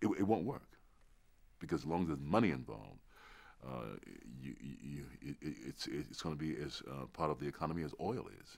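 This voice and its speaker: A man speaks at a very deep, low pitch with vocal fry and lively intonation. His pace is fairly quick, and his loudness swings a lot. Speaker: interviewee. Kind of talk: interview answer. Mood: earnest, reflective. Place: studio. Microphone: lapel.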